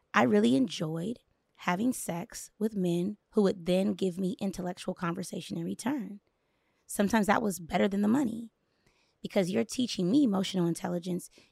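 Lively intonation and vocal fry come through on a very clean recording with a silent background and a dry, close sound with no echo. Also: woman. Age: 40s. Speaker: motivational speaker and performance coach. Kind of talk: casual chat. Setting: studio. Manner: candid.

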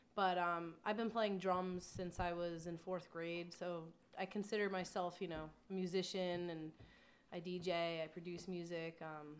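A woman speaks with an American accent at a moderate pace. Her intonation stays monotone and flat. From New York area (Long Island). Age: 20s. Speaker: adult film performer and nutrition contractor. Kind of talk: casual chat.

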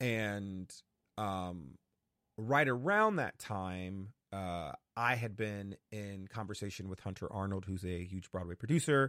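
With an American accent and a plain, everyday voice, a man speaks at a fairly slow pace and fairly low pitch with ordinary pitch variation, recorded with a dry, close sound and no echo. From US Northeast, New Haven, Connecticut. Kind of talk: casual interview.

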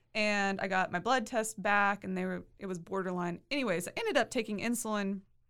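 Speaking at a fairly quick pace with hardly any pauses, a woman with a Texan accent keeps a medium pitch and fairly even intonation. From Texas, Waco area. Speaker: attorney and new mother. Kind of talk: interview. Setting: studio.

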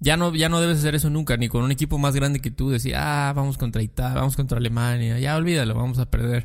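A man with a Mexican accent talks at a fairly quick pace in a fairly high pitch. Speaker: podcast co-host. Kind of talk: casual chat.

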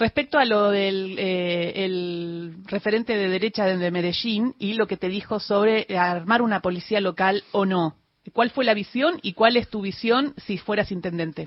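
A woman has an ordinary speaking voice with a medium pitch and ordinary pitch variation. She talks at a fairly slow pace with hardly any pauses. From Argentina, Patagonia. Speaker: radio host. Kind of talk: radio interview. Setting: studio.

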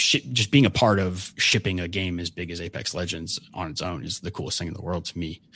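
A man's very deep, low voice has a bright, sharp tone and ordinary pitch variation, moving at a fairly quick pace with hardly any pauses. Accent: American. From US South, Georgia. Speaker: game developer. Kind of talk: interview.

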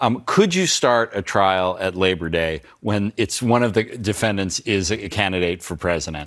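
This man has an unremarkable speaking voice with fairly low pitch and ordinary pitch variation. He talks at a moderate pace with hardly any pauses. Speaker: legal analyst. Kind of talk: news panel discussion.

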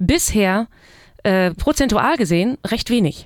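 A woman's plain, everyday voice, fairly slow, with lively intonation and a dry, close sound with no echo. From East Frisia, northern Germany. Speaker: musician. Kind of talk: casual chat. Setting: studio.

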